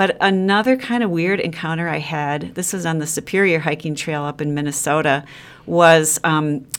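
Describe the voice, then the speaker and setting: A woman with a Wisconsin accent talks at a fairly quick pace in a fairly low pitch. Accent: Upper Midwest (Wisconsin). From Wisconsin (Sheboygan). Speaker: freelance travel writer and long-distance hiker. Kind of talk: interview.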